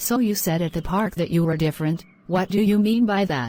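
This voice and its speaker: A woman growls in a put-on character voice at a medium pitch, keeping her loudness very even. She talks at a fairly quick pace on a very clean recording with a silent background. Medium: short film.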